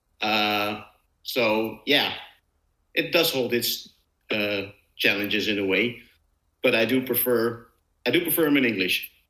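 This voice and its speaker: With audible room echo, a man's bright, sharp voice at medium pitch moves at a fairly slow pace with very even loudness and long, frequent pauses. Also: ordinary pitch variation. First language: not English. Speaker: comic book podcast co-host. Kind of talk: casual chat. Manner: halting, many fillers.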